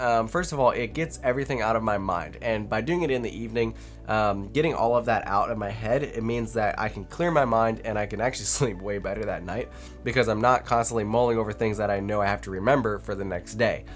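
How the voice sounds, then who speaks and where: With music in the background, a man talks very fast with hardly any pauses. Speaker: productivity vlogger. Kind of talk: casual talking-head vlog. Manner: conversational with fillers.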